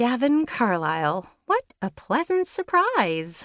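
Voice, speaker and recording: A put-on, growling character voice that sounds female, high-pitched for a woman, with very wide pitch swings at a fairly slow pace. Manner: sarcastic, strained politeness.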